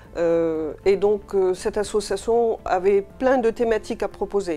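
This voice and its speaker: Her medium-pitched voice moves at a fairly slow pace as this woman keeps a fairly even intonation. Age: 60s. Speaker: patient association president. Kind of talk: interview testimony. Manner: hesitant, many fillers.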